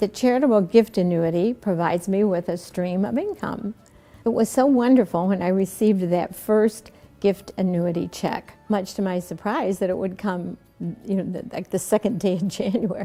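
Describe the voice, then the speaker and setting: Music plays in the background as a woman speaks. Her pitch is medium, with ordinary variation. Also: moderate pace. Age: 80s+. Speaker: retirement community resident. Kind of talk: testimonial interview.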